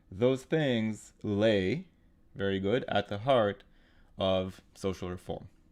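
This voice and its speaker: Against a quiet background, a man with a fairly low pitch speaks at a very slow pace with long, frequent pauses. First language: not English. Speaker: GMAT tutor. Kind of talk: live online tutorial; scripted intro. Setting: live online webinar with chat.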